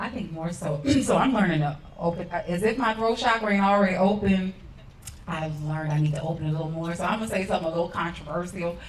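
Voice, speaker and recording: In a Southern US accent, a woman talks at a very fast pace with a fairly low pitch and ordinary pitch variation, with audible room echo around her. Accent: Southern twang. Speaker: artist on a discussion panel. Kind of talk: panel discussion.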